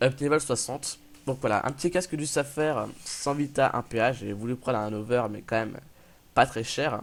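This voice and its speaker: The speech moves at a fairly slow pace. Its intonation is fairly even. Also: man. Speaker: gaming youtuber. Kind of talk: gameplay commentary. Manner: casual, hesitant with fillers.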